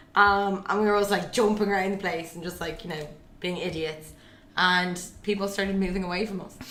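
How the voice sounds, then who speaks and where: Through audible room echo, a woman with an Irish accent talks at a fairly quick pace with fairly even intonation. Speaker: podcast co-host. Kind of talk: casual chat. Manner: loud.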